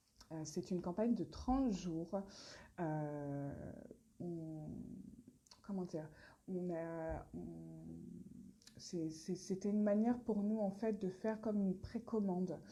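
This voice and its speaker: Pausing long and often, a woman speaks very slowly. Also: medium pitch for a woman, ordinary pitch variation. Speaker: brand founder presenting products. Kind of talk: live stream Q&A. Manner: hesitant, many fillers.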